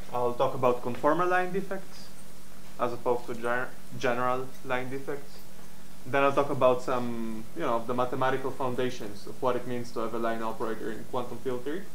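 Light background noise accompanies a man talking at a fairly quick pace with ordinary pitch variation. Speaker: lecturer. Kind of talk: lecture. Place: hall.

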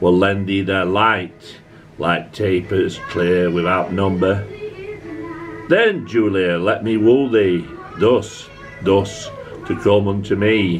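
With clear music in the background, a voice in a Yorkshire accent moves at a very slow pace with fairly even intonation and long, frequent pauses. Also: man, fairly low pitch for a man. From Yorkshire, England. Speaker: amateur poetry reader. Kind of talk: poetry reading. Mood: calm, tender recital. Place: home room. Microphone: phone near.

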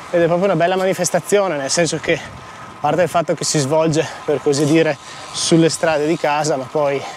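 A man at a fairly quick pace, fairly even in intonation, dry with no echo, light background noise. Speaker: amateur cyclist vlogger. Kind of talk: casual vlog chat. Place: bicycle. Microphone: lapel.

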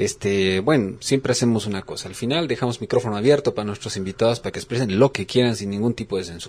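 Over a very clean recording with a silent background, a man rushes at a very fast pace with hardly any pauses, a medium pitch, ordinary pitch variation and big swings in loudness. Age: 40s. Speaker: radio host. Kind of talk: radio interview.

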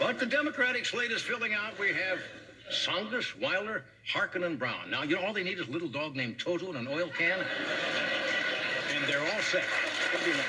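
A man talking at a moderate pace against loud background noise. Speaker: late-night talk show host. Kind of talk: comedy monologue. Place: stage.

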